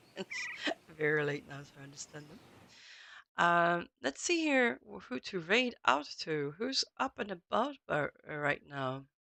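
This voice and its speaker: Quiet and fairly low in pitch, a woman speaks at a fairly slow pace with a bright, sharp tone, very wide pitch swings and big swings in loudness, in a dry, close sound with no echo. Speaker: gaming streamer. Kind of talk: live stream chat. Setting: home, late evening. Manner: halting.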